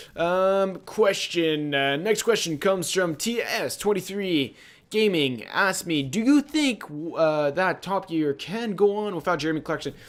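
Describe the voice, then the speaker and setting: A man with a Quebec accent speaks in a high voice, his intonation lively. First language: French. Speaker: gaming YouTuber. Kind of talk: casual Q&A chat.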